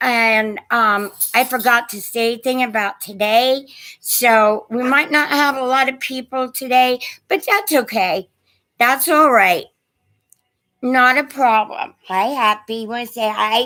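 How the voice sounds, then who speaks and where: A woman with a high, shaky voice and a bright, sharp tone speaks at a fairly slow pace with ordinary pitch variation. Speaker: online antiques seller. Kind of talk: live stream chat. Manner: hesitant, many fillers.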